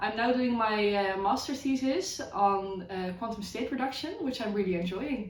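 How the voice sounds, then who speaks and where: A woman with a Dutch accent, hardly any pauses, ordinary pitch variation and audible room echo. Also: fairly high pitch for a woman, moderate pace. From Netherlands. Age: 20s. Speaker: physics student. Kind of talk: self-introduction.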